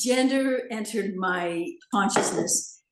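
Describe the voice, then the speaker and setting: A woman talks at a very slow pace with ordinary pitch variation. The room echo is audible. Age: 70s. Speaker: interview guest. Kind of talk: casual interview.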